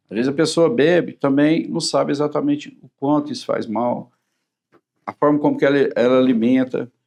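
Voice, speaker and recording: The man has a plain, everyday voice with ordinary pitch variation and big swings in loudness. His pace is moderate. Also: fairly high pitch for a man. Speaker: cardiologist. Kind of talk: TV talk-show interview.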